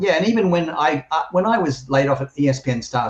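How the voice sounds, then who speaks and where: A somewhat breathy man with an Australian accent at a fairly quick pace. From Australia (Sydney). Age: 60s. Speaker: journalist and former sportscaster. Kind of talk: interview.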